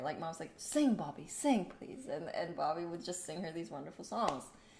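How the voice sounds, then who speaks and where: A woman talks at a fairly low pitch. Audible room echo surrounds her voice. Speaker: spiritual livestream host. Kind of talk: casual spiritual livestream chat.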